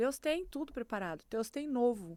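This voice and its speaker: Lively intonation comes through in a very clean recording with a silent background. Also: woman. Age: 50s. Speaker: podcast guest sharing faith testimony. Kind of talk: testimony.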